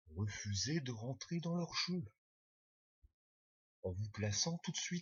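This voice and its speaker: Long, frequent pauses break up a man's very slow speech. His voice is somewhat breathy and medium in pitch, with very wide pitch swings. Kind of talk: first read-through of a text, rehearsal.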